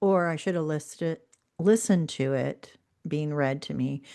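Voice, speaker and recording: A woman with a slight Southern US accent, a dark, mellow tone and lively intonation, at a fairly slow pace. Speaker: book podcast co-host. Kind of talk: casual chat.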